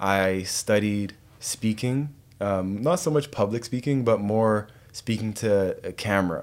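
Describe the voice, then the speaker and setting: An ordinary speaking voice with a Canadian accent, fairly slow pace and ordinary pitch variation, on a very clean recording with a silent background. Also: man, fairly low pitch for a man. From western Canada (Calgary, then Richmond, BC). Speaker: wellness coach and entrepreneur. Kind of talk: casual interview. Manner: relaxed, conversational.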